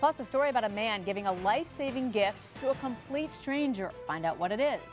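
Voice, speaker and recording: A woman speaks at a fairly quick pace with a fairly high pitch and lively intonation. Music plays in the background. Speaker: television news anchor. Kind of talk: television news anchor read.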